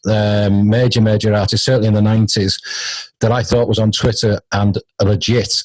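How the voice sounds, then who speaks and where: A man with a British accent speaks at a fairly quick pace in a somewhat breathy voice, on a very clean recording with a silent background. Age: 50s. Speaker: radio host. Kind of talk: casual interview chat.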